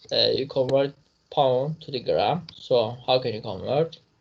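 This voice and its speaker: A man speaks at a fairly slow pace. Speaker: physics teacher. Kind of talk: lecture.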